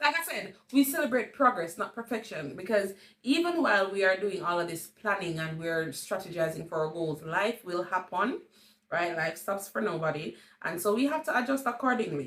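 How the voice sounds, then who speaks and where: Speaking in a Jamaican accent, a woman at medium pitch moves through very wide pitch swings at a moderate pace. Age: 30s. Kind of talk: casual talk to camera.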